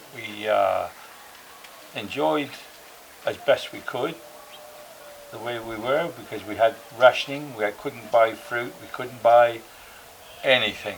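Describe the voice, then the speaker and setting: A man's medium-pitched voice at a fairly slow pace, with ordinary pitch variation, big swings in loudness, long and frequent pauses, and noticeable background noise. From England (Somerset). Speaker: war veteran. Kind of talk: interview, personal recollections. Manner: hesitant, many fillers.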